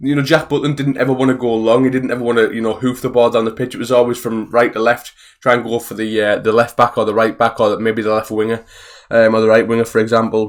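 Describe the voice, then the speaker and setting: In a Teesside accent, a man talks at a very fast pace. His medium pitch comes with monotone, flat intonation. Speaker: football fan vlogger. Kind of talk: casual video review monologue.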